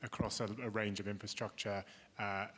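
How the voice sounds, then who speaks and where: A man talks with a British accent. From Britain. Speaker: investment executive and panel moderator. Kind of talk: moderated panel discussion. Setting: stage with audience. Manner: halting.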